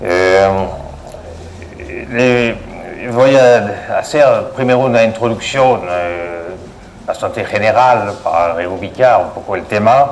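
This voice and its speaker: A man talks very slowly at a medium pitch, with ordinary pitch variation and long, frequent pauses. The recording has audible room echo and noticeable background noise. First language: French (speaking Spanish). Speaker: hydroelectric engineer. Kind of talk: lecture. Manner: halting, many fillers.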